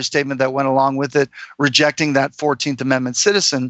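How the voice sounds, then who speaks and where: An American accent with fairly even intonation. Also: man. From Florida, US. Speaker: freedom consultant. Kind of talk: interview. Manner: halting, many fillers.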